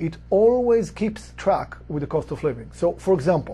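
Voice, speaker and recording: With a non-native accent, a man talks at a moderate speed. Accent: foreign. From outside the US. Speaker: real estate investor, company executive. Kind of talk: explainer talk to camera.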